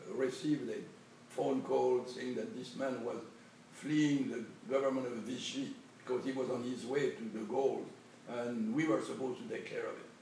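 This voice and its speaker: Man speaking at a moderate pace, with audible room echo and noticeable background noise. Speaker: war veteran. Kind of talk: interview. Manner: halting.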